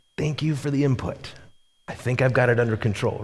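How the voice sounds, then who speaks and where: A man's strained, raspy put-on character voice at medium pitch, with fairly even intonation and a fairly quick pace. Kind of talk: polite but resentful. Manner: strained, through gritted teeth.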